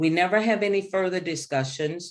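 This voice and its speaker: In a New Orleans accent, a woman talks at a moderate pace. Her pitch is fairly low, with ordinary variation. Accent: Southern, New Orleans. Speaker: leadership speaker. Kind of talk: webinar presentation. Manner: animated.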